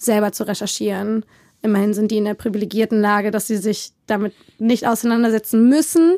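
In a normal speaking voice, a woman talks at a fairly quick pace with a fairly high pitch and fairly even intonation. The recording is very clean and dry, close with no echo, over a silent background. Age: 20s. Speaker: podcast interviewee. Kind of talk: casual chat.

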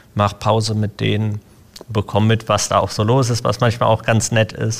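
A man's fairly low, somewhat breathy voice, monotone and at a moderate pace. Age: 20s. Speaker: IT apprentice. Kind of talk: casual interview.

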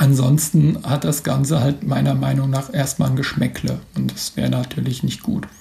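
Here a man speaks at a fairly high pitch. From Mainz, Germany. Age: 40s. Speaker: football blogger and author. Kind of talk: interview. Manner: hesitant with frequent fillers.

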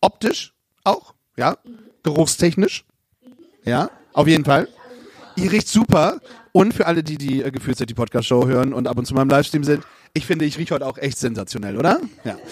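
A man's fairly high, somewhat breathy voice at a fairly quick pace, with lively intonation, big swings in loudness and long, frequent pauses. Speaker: podcast host. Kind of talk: live podcast moderation. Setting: stage with audience. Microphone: crackling audio track.

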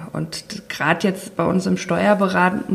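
The speech unfolds at a fairly slow pace against noticeable background noise. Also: woman. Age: 40s. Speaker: tax advisor. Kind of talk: interview conversation.

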